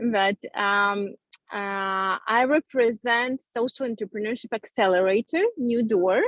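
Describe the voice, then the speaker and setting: A woman with a non-native accent, fairly high pitch and fairly slow pace. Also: ordinary pitch variation. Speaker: social entrepreneurship accelerator representative. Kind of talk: casual chat. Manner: halting.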